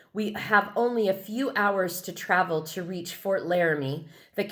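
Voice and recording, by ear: The text is read aloud in a natural voice. Pitch rises and falls in an ordinary way.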